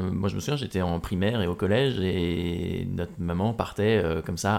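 This man's voice is very deep and low. His pitch variation is ordinary. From Normandy, France. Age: 20s. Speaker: adventurer and speaker. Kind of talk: interview, casual chat.

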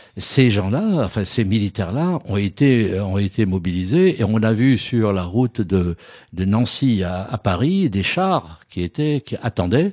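A man's fairly low, dark, mellow voice with lively intonation, in a very clean recording over a silent background. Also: fairly slow pace, dry, close sound with no echo. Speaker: trade unionist. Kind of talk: interview testimony.

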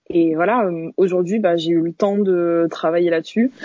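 The pitch of this woman's voice is fairly low. She keeps a moderate pace. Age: 20s. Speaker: interviewee sharing personal story. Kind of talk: interview. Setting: video call. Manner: halting.

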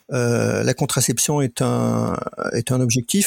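A man speaks in a dry, close sound without any echo. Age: 60s. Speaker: member of a men's contraception collective. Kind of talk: interview. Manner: halting.

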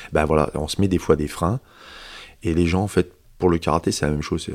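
On a very clean recording with a silent background, a man speaks very fast with vocal fry and fairly even intonation. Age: 50s. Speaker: karate instructor. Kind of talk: casual chat.

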